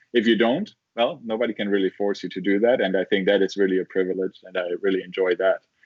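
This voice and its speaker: A man with a German accent talks at a very fast pace with hardly any pauses. His pitch is fairly low and his intonation fairly even. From southern Germany. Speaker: engineering professor. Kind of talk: interview. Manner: halting, many fillers and repeats.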